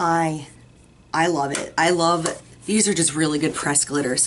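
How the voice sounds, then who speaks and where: This woman's voice has a fairly low pitch. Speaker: beauty vlogger. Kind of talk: product review video. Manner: friendly, chatty. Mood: warm, enthusiastic.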